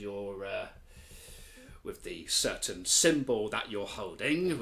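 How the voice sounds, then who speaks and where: A man speaks in a put-on character voice. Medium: actual play. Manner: weary, mildly sardonic, polite.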